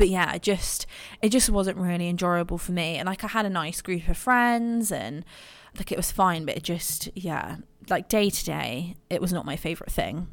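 Here a woman talks in a medium pitch. Her pace is moderate and her pitch variation ordinary. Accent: English. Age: 20s. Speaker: podcast host. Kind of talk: personal monologue. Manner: hesitant, filler-heavy.

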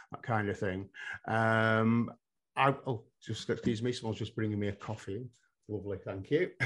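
This speaker has an English accent and a moderate pace, broken by long, frequent pauses. Intonation is fairly even over a quiet background. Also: man, medium pitch for a man. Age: 50s. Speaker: hypnotherapist and psychotherapist. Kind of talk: interview conversation.

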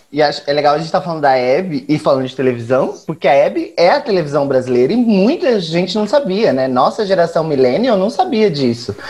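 With hardly any pauses, a man talks at a fairly quick pace and fairly high pitch, his intonation lively over noticeable background noise. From Brazil, Campo Grande (Mato Grosso do Sul). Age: 20s. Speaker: guest discussing television. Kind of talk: casual chat.

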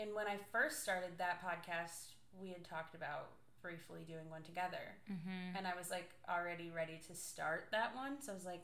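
A woman's fairly low pitch with ordinary pitch variation at a moderate pace, plus noticeable background noise. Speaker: podcast co-host. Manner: loud, naturally projecting voice.

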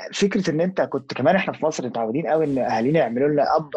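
A man speaks very fast in a fairly high voice, with noticeable noise in the background. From Egypt. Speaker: podcast guest, Egyptian expat. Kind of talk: casual chat.

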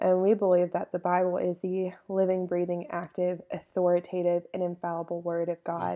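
Someone with a Texan accent speaks at a moderate pace in a dark, mellow tone and monotone, flat intonation, with hardly any pauses. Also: woman, fairly low pitch for a woman. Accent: Texan Southern US. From East Texas. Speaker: podcast co-host, college student. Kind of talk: faith statement in casual podcast chat.

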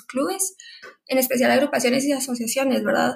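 A woman speaks at a fairly quick pace with a high pitch. Her intonation stays fairly even. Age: 20s. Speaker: university student. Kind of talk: casual interview.

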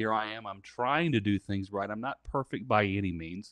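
Over a quiet background, a man with an American accent talks in a plain, everyday voice at a moderate pace, with a fairly low pitch, ordinary pitch variation, and a dry, close sound with no echo. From Southern Indiana, US Midwest. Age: 30s. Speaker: minister, burn survivor. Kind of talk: testimony.

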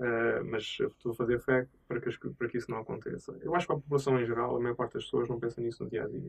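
This man talks at a very fast pace in a medium pitch. His intonation stays fairly even. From Azores, Portugal. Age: 30s. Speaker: tech entrepreneur. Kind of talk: interview. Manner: hesitant, many fillers.

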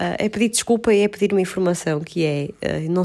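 A woman speaks in a plain, everyday voice at a moderate pace. Her intonation stays fairly even. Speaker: podcast co-host. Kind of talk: casual chat. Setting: at home on the sofa.

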